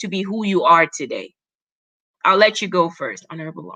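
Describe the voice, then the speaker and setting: A woman's bright, sharp voice with a non-native accent and lively intonation. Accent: foreign. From Cameroon. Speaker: talk show host. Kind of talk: live panel interview. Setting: livestream.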